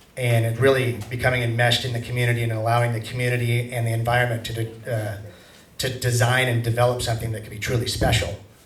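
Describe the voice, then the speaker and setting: Very fast, flat, monotone speech in an American accent, with noticeable background noise and audible room echo. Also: man, medium pitch for a man. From US Pacific Northwest. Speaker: golf course developer presenting a proposal. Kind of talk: public meeting presentation. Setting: public meeting in a hall.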